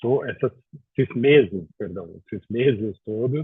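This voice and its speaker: This is a man talking. The pitch variation in his voice is ordinary. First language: Portuguese (speaking Spanish). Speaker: housing expert. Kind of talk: webinar presentation.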